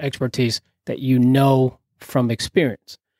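In a New Jersey accent, a man speaks at a medium pitch with a dry, close sound and no echo. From New Jersey (Carteret), Puerto Rican family. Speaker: retired police SWAT leader and tactical trainer. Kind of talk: casual interview chat. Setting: studio.

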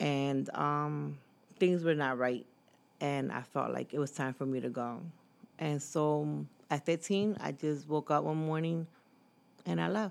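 An American-accented woman with a very deep, low pitch talks at a fairly slow pace with lively intonation, leaving long, frequent pauses. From Philadelphia area, US. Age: 40s. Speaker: guest sharing life story. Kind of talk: personal testimony in interview.

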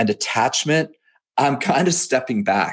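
A man with a normal speaking voice talks at a moderate pace in a Canadian accent, his pitch varying in an ordinary way. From western Canada, near Seattle. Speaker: fitness coach and entrepreneur. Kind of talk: casual interview.

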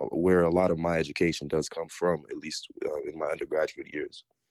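A man with a very deep, low pitch, in a dry, close sound with no echo. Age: 20s. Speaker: recent university graduate. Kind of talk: casual chat.

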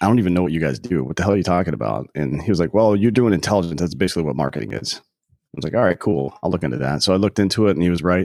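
A man with an American accent talks at a very fast pace, his pitch very deep and low. His intonation is lively, with vocal fry. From US South, South Carolina. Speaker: podcast co-host, military veteran. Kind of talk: casual interview. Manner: calm.

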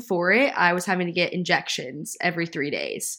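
A woman with a Southern US accent talks at a fairly slow pace in a medium pitch on a very clean recording with a silent background. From Nashville, Tennessee. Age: 20s. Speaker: podcast co-host, former college soccer player. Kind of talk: casual chat.

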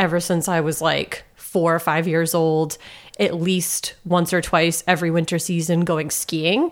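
At a fairly slow pace, a woman speaks with a fairly low pitch and monotone, flat intonation. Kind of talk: casual chat.

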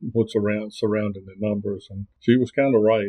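A man with an American accent speaks at a fairly low pitch. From US South, southern Virginia. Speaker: circuit court clerk, former state trooper. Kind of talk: interview about local records.

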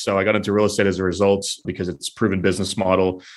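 A man with an American accent, fairly low-pitched, at a very fast pace against a quiet background. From New Hampshire, US. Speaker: real estate investor. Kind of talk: interview.

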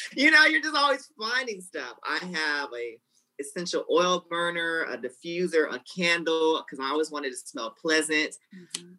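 Speaking with a Southern US accent at a moderate pace, a woman with a fairly low pitch makes very wide pitch swings and big swings in loudness. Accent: Southern US (Georgia). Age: 20s. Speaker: nail technician. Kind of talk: casual interview. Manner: talkative.

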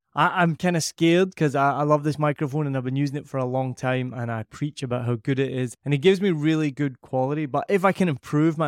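With a Scottish accent, a man talks at a very fast pace in a fairly high voice. His tone is enthusiastic, with ordinary pitch variation. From Scotland. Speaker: podcast producer and host. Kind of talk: product review. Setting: home recording room with echo.

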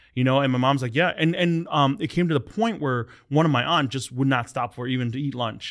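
Medium male pitch with ordinary variation, an American accent and a fairly quick pace. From US Midwest, Hmong American family. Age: 30s. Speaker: podcast host. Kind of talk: casual chat. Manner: halting.

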